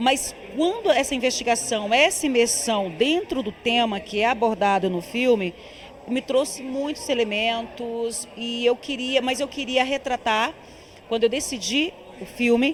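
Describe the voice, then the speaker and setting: A woman speaks at a fairly slow pace in a high voice with ordinary pitch variation. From Tocantins backcountry, Brazil. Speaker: film director. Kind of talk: interview.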